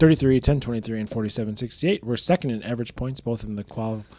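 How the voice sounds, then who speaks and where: Talking very fast, a man uses a medium pitch and ordinary pitch variation in a dark, mellow tone. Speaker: robotics competition show co-host. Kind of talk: scripted rankings commentary.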